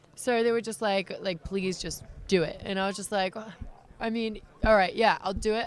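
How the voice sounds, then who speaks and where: Fairly high-pitched female speech against noticeable background noise. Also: fairly even intonation, moderate pace. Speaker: professional wrestler. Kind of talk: interview answer.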